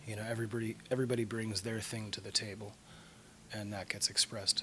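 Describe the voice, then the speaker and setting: Soft-spoken and fairly low-pitched, a man talks at a very fast pace in a monotone, flat intonation over noticeable background noise. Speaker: rock band vocalist. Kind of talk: interview.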